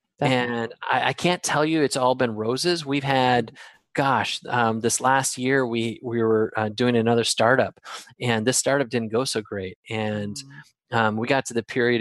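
An unremarkable speaking voice with an American accent moves at a moderate pace with fairly even intonation, in a dry, close sound with no echo and a quiet background. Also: man. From Wisconsin, US Midwest. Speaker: guest, speaker, author and travel blogger. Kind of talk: casual conversational interview.

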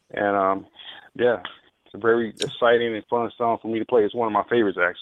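Talking at a very fast pace, a man with a Southern US accent keeps a medium pitch and a monotone, flat intonation. His loudness swings widely. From Mississippi, small town. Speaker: drummer. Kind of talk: radio interview.

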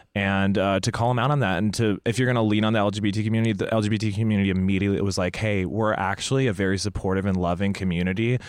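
A man with a fairly low pitch speaks at a very fast pace, with hardly any pauses and fairly even intonation. His loudness stays very even in a very clean recording with a silent background. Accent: American. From Indonesia (American missionary family). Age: 20s. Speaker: comedian. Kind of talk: casual chat.

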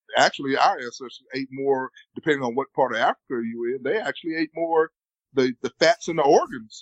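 Delivered at a fairly quick speed, the speech shows ordinary pitch variation. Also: man. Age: 50s. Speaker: keto diet advocate. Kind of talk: interview. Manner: halting.

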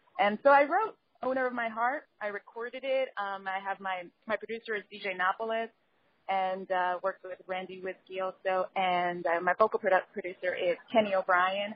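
Ordinary pitch variation, a moderate pace and an American accent in a normal speaking voice. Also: woman, medium pitch for a woman. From New York, the Bronx. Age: young. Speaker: singer and lawyer. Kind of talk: interview.

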